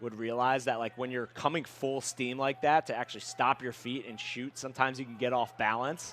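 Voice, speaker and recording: A man's normal speaking voice at a medium pitch and fairly quick pace. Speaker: color commentator, professional lacrosse player. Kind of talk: live sports commentary. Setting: press box at stadium.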